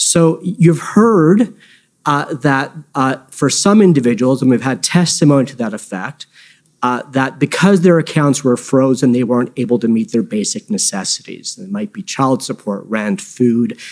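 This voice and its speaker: A fairly high-pitched man with very wide pitch swings over a quiet background. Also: moderate pace. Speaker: lawyer cross-examining. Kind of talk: courtroom cross-examination. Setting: public inquiry hearing. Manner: formal, polite but probing; measured, with frequent hesitations and restarts. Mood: measured, formal. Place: hall. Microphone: podium.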